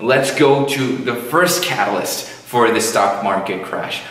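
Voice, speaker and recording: A man speaks at a very slow pace, with room echo audible. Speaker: finance educator. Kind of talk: educational commentary. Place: studio.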